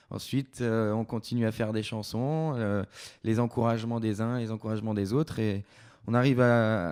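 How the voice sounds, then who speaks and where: A man talks at a medium pitch and moderate pace, his intonation fairly even, in a very clean recording with a silent background. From France, Creuse. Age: 20s. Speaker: singer-songwriter. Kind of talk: interview. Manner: hesitant.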